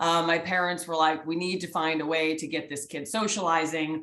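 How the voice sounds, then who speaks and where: Audible room echo surrounds a woman with a slight Canadian accent and a fairly low pitch, talking at a fairly quick pace in an energetic, animated tone. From Canada. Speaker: sports executive, guest speaker. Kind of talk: guest lecture to students. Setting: video call.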